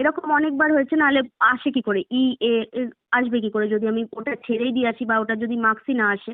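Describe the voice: The sound is dry and close, with no echo. Intonation stays fairly even at a moderate pace. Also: woman, fairly high pitch for a woman.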